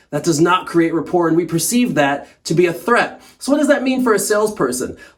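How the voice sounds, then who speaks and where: A man with a high voice, fairly quick and animated, his pitch swinging very widely. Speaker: sales trainer. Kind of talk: tutorial. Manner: fast.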